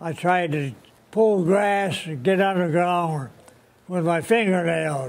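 The voice moves at a very slow pace with ordinary pitch variation. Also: man. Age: 80s+. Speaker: war veteran. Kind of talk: interview answer. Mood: earnest, reflective war memories. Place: hall.

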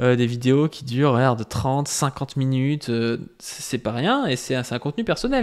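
A man speaks at a moderate pace. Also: quiet background. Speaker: YouTuber. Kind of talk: video reaction and rebuttal to another YouTuber. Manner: filler-heavy, hesitant, conversational. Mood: critical, argumentative. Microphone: studio mic.

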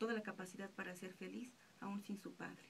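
Against light background noise, a woman speaks at a medium pitch and a fairly quick pace, her intonation fairly even. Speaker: radio announcer. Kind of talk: radio reflection, reading a personal anecdote on absent fathers. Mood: calm, reflective. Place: studio. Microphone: studio mic.

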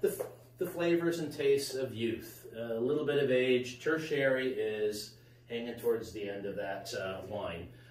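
A man at a medium pitch, slightly mellow in tone, with ordinary pitch variation, a fairly slow pace and audible room echo

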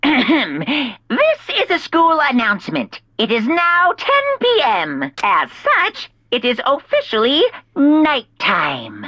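A put-on character voice, female-sounding and pitched high, moves at a very slow pace. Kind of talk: let's play voicing of game text. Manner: cartoonish, exaggerated.

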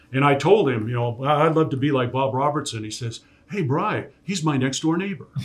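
Fairly high and somewhat breathy, a man's voice comes in an American accent. His pace is fairly quick, with ordinary pitch variation. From US Pacific Northwest, Tacoma; US Pacific Northwest. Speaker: sports play-by-play broadcaster; podcast guest. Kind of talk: casual interview. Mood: relaxed, fond recollection. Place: studio.

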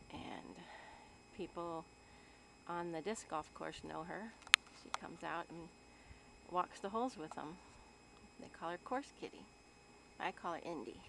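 With ordinary pitch variation and long, frequent pauses, the voice comes through light background noise. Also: woman, fairly low pitch for a woman, moderate pace, dry sound with no echo. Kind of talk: casual talk to a pet and narration. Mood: warm, affectionate. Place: open country. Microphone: phone near.

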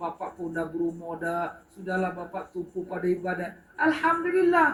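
Noticeable background noise runs beneath a man's voice as he talks at a moderate pace. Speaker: religious teacher. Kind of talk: religious lecture. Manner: animated.

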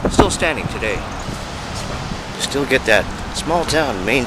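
Loud background noise competes with a man's speaking voice. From Canada. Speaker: local community reporter. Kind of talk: community news report to camera. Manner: upbeat. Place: street. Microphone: phone near.

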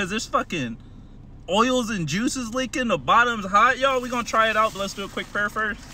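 Raising and projecting his voice, a man talks at a fairly quick pace with ordinary pitch variation and a bright, sharp tone. The sound is dry with no echo, over light background noise. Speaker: food reviewer. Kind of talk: casual vlog chat. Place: car. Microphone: phone near.

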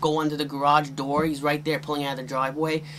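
A man speaking at a fairly quick pace over light background noise. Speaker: VHS collector reviewer. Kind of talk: casual review commentary. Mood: wry, mildly critical. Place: home room.

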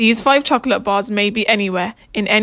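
Here the speaker does plain reading aloud.

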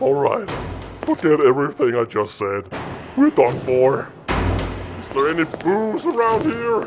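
Putting on a character voice, a man speaks at a moderate pace with fairly high pitch, very wide pitch swings and long, frequent pauses over clear background noise. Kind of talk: acted dialogue. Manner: panicky, flippant.

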